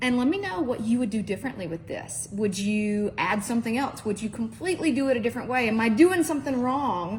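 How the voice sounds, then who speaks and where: Over noticeable background noise, a woman with an American accent talks very fast in an animated tone, with lively intonation, a fairly high pitch and hardly any pauses. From Mississippi. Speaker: cooking show host. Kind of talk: cooking tutorial. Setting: home kitchen, filmed by husband.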